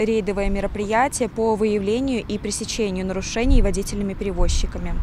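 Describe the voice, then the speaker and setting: A woman at a fairly quick pace, dry sound with no echo, light background noise behind her. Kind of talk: interview answer. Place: street. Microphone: handheld.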